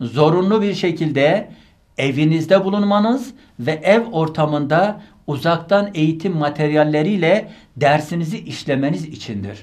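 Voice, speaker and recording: A man's fairly high-pitched voice with lively intonation, at a fairly slow pace over a quiet background. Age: 40s. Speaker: university rector and medical professor; medical professor. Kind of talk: online lecture. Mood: earnest, admonishing. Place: studio. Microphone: studio mic.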